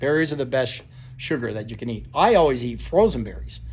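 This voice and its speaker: An American-accented man talks with audible room echo around him. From US Northeast (Vermont). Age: 60s. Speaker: fitness trainer. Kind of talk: informal talk-to-camera lecture. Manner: casual, halting with fillers.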